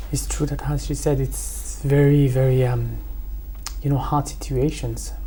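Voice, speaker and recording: In a French accent, a woman speaks at a fairly slow pace amid audible room echo. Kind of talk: TV panel discussion.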